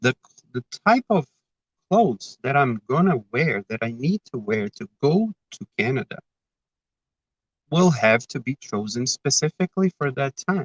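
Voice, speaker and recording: Somewhat breathy, a man speaks at a fairly slow pace with very wide pitch swings and long, frequent pauses. The sound is dry and close with no echo. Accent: Brazilian. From Brazil. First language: Portuguese. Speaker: spiritist speaker. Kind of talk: talk. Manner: halting.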